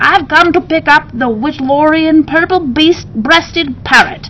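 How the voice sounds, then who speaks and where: Someone does a put-on character voice at a moderate pace with ordinary pitch variation, over clear background noise. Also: woman, high pitch for a woman. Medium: read story.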